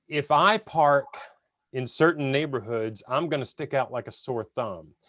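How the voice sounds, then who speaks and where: A man speaks in a normal speaking voice. His pitch is fairly high, and he keeps a moderate pace. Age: 50s. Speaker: webinar host. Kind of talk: webinar interview.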